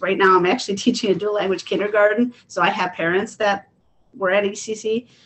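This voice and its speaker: Here a woman talks at a medium pitch. She keeps a fairly quick pace. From Illinois. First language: Spanish. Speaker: kindergarten teacher and board candidate. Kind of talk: panel discussion. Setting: video call.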